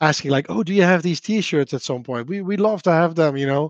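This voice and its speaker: A man with a Dutch accent speaks at a fairly quick pace. His voice is fairly high, with ordinary pitch variation. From Netherlands. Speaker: software developer and open source maintainer. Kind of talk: livestream interview. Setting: remote livestream.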